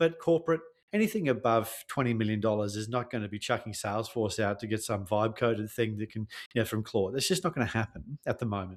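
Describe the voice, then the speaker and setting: A man talks very fast in an Australian accent at a medium pitch. His pitch varies in an ordinary way, and the recording is very clean with a silent background. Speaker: tech sales consultant. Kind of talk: podcast interview.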